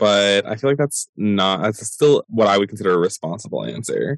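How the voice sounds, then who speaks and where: A man's fairly low voice, an unremarkable speaking voice, with ordinary pitch variation, dry and close sound with no echo, and a quiet background. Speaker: podcast host. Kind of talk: casual interview conversation.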